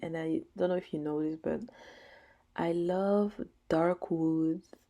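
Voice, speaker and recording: In a French accent, a woman speaks with a very deep, low pitch and a dark, mellow tone. Her intonation is monotone and flat at a fairly slow pace. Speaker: gaming YouTuber. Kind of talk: casual gameplay voice-over. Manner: filler-heavy, casual.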